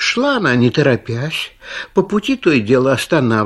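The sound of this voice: This clip carries an unforced reading voice.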